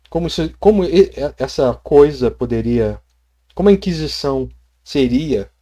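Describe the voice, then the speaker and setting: A man's dark, mellow voice, fairly high in pitch, fairly slow, with ordinary pitch variation. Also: very clean recording, silent background. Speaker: tabletop RPG youtuber. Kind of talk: casual vlog.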